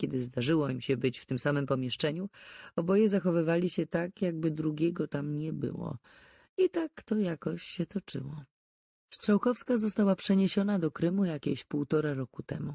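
The recording is very clean, with a silent background and a dry, close sound with no echo. A woman speaks in a very deep, low pitch with a dark, mellow tone. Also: ordinary pitch variation, moderate pace. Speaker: audiobook narrator. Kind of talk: audiobook reading of a crime novel.

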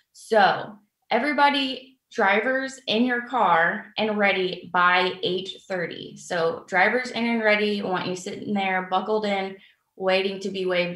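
A woman at a very slow pace, with ordinary pitch variation, audible room echo and a quiet background. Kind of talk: briefing. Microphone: webcam.

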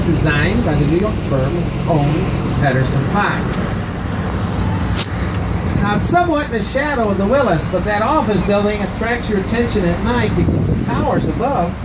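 Loud background noise fills the recording. Over it, a man keeps a moderate pace. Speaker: boat tour guide. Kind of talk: tour commentary. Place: boat.

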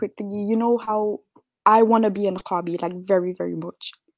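This woman's voice sits fairly high in pitch and moves at a fairly quick pace. Her intonation stays monotone and flat. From UK, Kurdish heritage. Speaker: caller. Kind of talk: casual chat.

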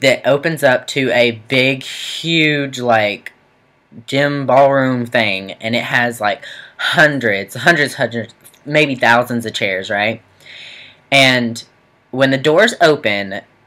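A man talks very slowly, and his pitch rises and falls in an ordinary way. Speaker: student vlogger. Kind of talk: casual vlog storytelling. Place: home room. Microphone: webcam.

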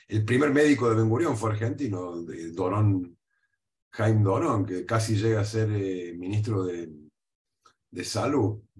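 Somewhat breathy and fairly low in pitch, a man speaks at a fairly slow pace with ordinary pitch variation and long, frequent pauses. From Argentina, Córdoba; Argentina. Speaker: history professor. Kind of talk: interview. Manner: halting, frequent fillers and repeats. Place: home room. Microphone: webcam.

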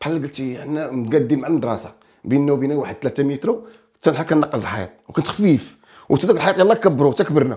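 A man's fairly high voice, dark and mellow in tone, with very wide pitch swings at a very fast pace. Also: quiet background. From Morocco, Kelaat Sraghna; Morocco. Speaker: folk singer and comedian; comedian. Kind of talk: casual interview. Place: studio. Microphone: lapel.

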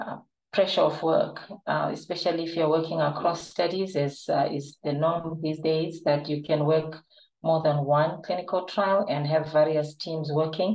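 Speaking in a flat monotone at a moderate pace, a woman has a very deep, low pitch. The background is quiet, with audible room echo. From Zimbabwe. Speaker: clinical trial manager and nurse. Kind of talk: webinar presentation. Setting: online webinar. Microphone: webcam.

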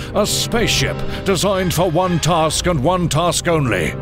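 Music plays in the background. The speaker keeps a fairly slow pace. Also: man. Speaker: voice actor. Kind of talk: movie trailer.

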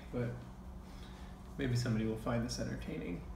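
Noticeable background noise and audible room echo around a man's speaking voice. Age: 30s. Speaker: vlogger. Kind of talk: personal vlog monologue. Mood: calm, reflective, subdued. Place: kitchen. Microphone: phone near.

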